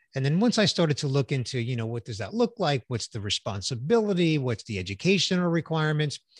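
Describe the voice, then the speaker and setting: Somewhat breathy and fairly high-pitched, a man speaks at a very fast pace with hardly any pauses and very wide pitch swings, the sound dry and close with no echo against a quiet background. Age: 60s. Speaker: business executive and voice actor. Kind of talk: casual interview.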